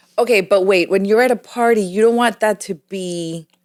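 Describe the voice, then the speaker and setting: A woman talks at a moderate pace in a plain, everyday voice. Her pitch is medium, with ordinary pitch variation. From Puerto Rico (Caguas), moved to Orlando, Florida at 13. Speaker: acting coach and business owner. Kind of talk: casual podcast interview.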